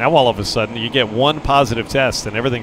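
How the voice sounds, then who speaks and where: A man speaks at a very fast pace with fairly even intonation. Noticeable background noise can be heard. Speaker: baseball broadcaster. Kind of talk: live sports commentary, relaxed play-by-play with analysis. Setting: ballpark broadcast, streamed online. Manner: conversational, easygoing.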